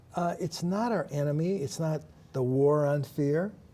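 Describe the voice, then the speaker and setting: At a fairly slow pace, a man speaks with a fairly high pitch. His tone is dark and mellow, and somewhat breathy. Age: 60s. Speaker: talk show co-host. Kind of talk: inspirational talk show conversation.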